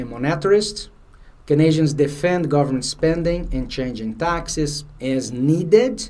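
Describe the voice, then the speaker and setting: With a Brazilian Portuguese accent, a man speaks at a fairly high pitch and moderate pace in a dark, mellow tone, with ordinary pitch variation and audible room echo. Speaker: finance exam prep instructor. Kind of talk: lecture. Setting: livestream. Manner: halting.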